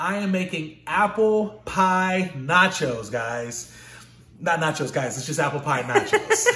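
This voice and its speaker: Bright and sharp in tone, a man speaks at a fairly slow pace with audible room echo. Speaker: cooking channel host. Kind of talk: casual vlog chat. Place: kitchen. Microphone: phone near.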